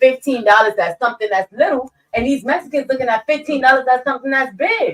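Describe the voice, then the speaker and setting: A woman talks loudly at a very fast pace with hardly any pauses, her high-pitched voice animated in tone with ordinary pitch variation, recorded with a dry, close sound and no echo. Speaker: podcast co-host. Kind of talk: casual chat.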